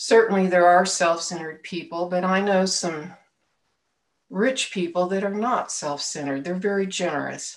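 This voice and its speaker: With an American accent, a woman speaks at a moderate pace and a medium pitch, with ordinary pitch variation. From Oklahoma (Tulsa); Oklahoma. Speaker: lay minister. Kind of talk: sermon. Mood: calm, reflective. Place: home room. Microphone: webcam.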